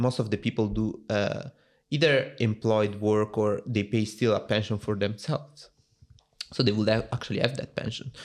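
A man with an Italian accent speaks at a moderate pace. His pitch is fairly low and his intonation fairly even. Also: quiet background. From Italy. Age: 20s. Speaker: software engineer. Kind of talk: casual interview.

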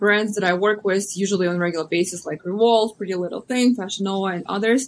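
A woman in a Russian accent, medium in pitch, with fairly even intonation. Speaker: social media influencer and model. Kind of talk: interview.

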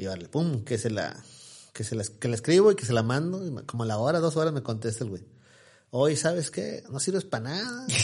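Somewhat breathy, a man talks at a fairly quick pace and medium pitch with very wide pitch swings. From Mexico, Ciudad Victoria, Tamaulipas. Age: 40s. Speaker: news portal founder and influencer. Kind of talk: casual interview.

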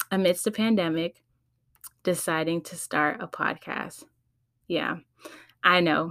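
On a very clean recording with a silent background, a woman with a Californian accent speaks in a bright, sharp tone with ordinary pitch variation. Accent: Californian American English. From California, San Fernando Valley (LA County). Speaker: podcast host. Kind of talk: casual solo podcast intro.

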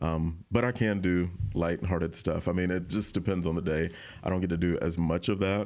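Over a quiet background, the speaker talks at a fairly quick pace with an Alabama accent, fairly even intonation and very even loudness. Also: man, very deep, low pitch for a man. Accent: Alabama Southern US. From rural Alabama, north of Montgomery. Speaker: TV news reporter. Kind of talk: casual interview chat.

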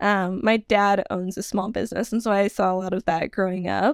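A woman speaks with an American accent in a plain, everyday voice at a medium pitch. The recording is very clean with a silent background and a dry, close sound with no echo. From Nevada, US. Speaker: wedding venue consultant. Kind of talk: casual interview.

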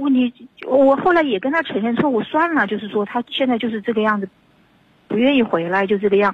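Speaking very fast, a woman uses a fairly high pitch and lively intonation. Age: 50s. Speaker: caller seeking advice about unfaithful husband. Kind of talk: radio call-in advice conversation.

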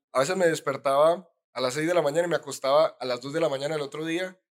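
His pace is fairly quick. This man's intonation is monotone and flat. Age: 20s. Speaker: entrepreneur. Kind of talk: casual interview.

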